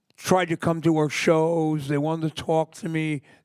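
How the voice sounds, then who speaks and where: A man with an American accent and a normal speaking voice, fairly high in pitch at a moderate pace, dry and close with no echo on a very clean recording with a silent background. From US Northeast (New York area). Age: 60s. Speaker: punk singer. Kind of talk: interview. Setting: library stage with audience.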